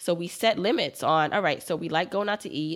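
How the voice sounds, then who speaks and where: On a very clean recording with a silent background, a woman with an American accent uses a normal speaking voice, fairly low in pitch, with ordinary pitch variation at a moderate pace. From Brooklyn, New York. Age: 30s. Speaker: personal finance educator. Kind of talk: interview.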